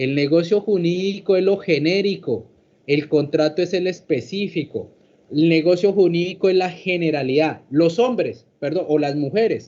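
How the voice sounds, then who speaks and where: Pitch rises and falls in an ordinary way while the words come at a moderate pace. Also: man, high pitch for a man. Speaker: law professor. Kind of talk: lecture.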